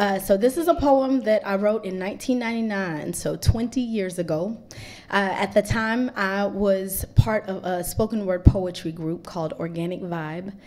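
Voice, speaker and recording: A plain, everyday voice at a fairly slow pace, with ordinary pitch variation, big swings in loudness and a very clean recording with a silent background. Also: woman, medium pitch for a woman. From Swaziland (Eswatini), raised in Greensboro, North Carolina. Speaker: poet and performer. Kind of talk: poet spoken word, reflective, rhythmic internal rhymes about fame and authenticity. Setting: stage with live audience at poetry cafe. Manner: playful and laughing in the intro, then smooth, rhythmic and deliberate in the poem.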